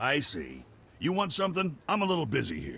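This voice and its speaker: A raspy, put-on character voice from a man at a fairly quick pace. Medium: video game. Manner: casual, folksy.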